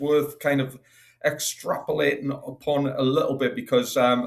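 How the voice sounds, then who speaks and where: In a somewhat breathy tone, a man delivers his words at a moderate pace. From Northeast England. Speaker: talk show panelist. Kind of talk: casual chat.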